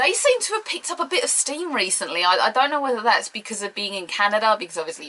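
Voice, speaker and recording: This woman, speaking with a British accent, swings her pitch very widely. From Britain. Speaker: wrestling pundit. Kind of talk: casual video commentary. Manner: animated.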